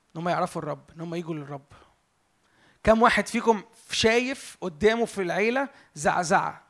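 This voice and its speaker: A high-pitched man with an Egyptian accent, lively intonation, big swings in loudness, a moderate pace and long, frequent pauses. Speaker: preacher. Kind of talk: sermon. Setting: church with audience.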